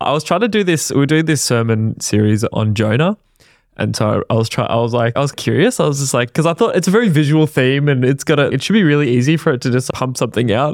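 A man with an Australian accent talks at a very fast pace with a fairly high pitch and lively intonation. The recording is very clean with a silent background. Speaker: podcast co-host. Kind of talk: casual chat.

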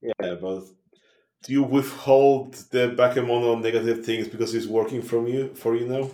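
A plain, everyday voice speaks at a moderate pace. Its intonation stays fairly even. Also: man, medium pitch for a man. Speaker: tabletop roleplaying game player. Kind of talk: casual roleplaying game session with banter.

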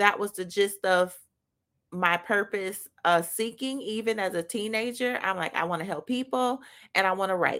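A woman speaks at a medium pitch in a bright, sharp tone, with ordinary pitch variation and a moderate pace. The recording is very clean, with a silent background. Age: 40s. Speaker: podcast host. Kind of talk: faith-based motivational talk. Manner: casual, with many filler words.

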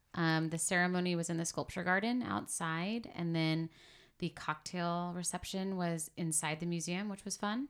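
A woman with an American accent speaks in a plain, everyday voice at a moderate pace. Her pitch is fairly low with ordinary variation, and the recording is very clean with a silent background. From San Diego, California. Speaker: podcast guest, recently married. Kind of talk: casual chat.

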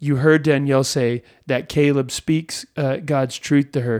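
On a very clean recording with a silent background, an unremarkable speaking voice carries fairly even intonation. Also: man. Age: 40s. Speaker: pastor. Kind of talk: casual chat. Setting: studio.

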